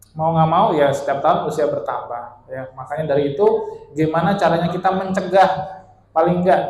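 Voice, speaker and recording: A man with a Bekasi accent, a high pitch and lively intonation, with audible room echo. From Bali, Indonesia. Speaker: orthopedic spine surgeon. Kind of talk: health talk to seniors. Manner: casual, conversational.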